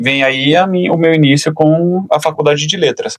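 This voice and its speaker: This is an ordinary speaking voice with ordinary pitch variation. The sound is dry and close, with no echo. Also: man. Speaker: English teacher and journalist. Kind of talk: podcast interview. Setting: studio.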